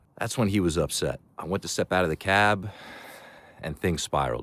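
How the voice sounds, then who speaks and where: In a very clean recording with a silent background, a man with a very deep, low pitch speaks at a fairly quick pace. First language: not Chinese; learned Mandarin. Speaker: travel vlogger. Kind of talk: vlog narration.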